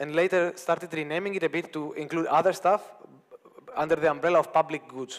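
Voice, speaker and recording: A man speaks with a non-native accent and a high pitch. His intonation stays fairly even. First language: not English. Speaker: conference speaker, open source company founder. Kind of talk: conference talk. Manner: halting, many fillers.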